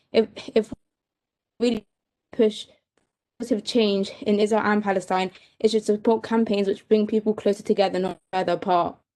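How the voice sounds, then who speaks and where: With a dark, mellow tone and a fairly high pitch, a woman speaks at a fairly quick pace in a monotone, flat intonation, broken by long, frequent pauses. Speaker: student debater. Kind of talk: debate speech. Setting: video call. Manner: halting.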